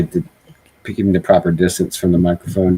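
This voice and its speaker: At a fairly quick pace, a man speaks with a very deep, low pitch and a dark, mellow tone in a dry, close sound with no echo. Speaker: podcast host. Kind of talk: casual chat. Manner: soft-spoken.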